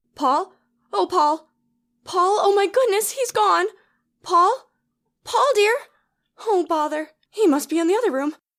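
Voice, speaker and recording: A put-on character voice, female-sounding and extremely high, at a moderate pace with long, frequent pauses. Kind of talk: 1930s radio drama acting. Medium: audio drama. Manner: sweet, affectionate.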